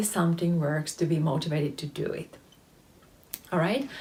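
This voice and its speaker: A woman with a Finnish accent speaks in a somewhat breathy voice. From Finland. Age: 30s. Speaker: face yoga teacher. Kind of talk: tutorial. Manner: hesitant, many fillers.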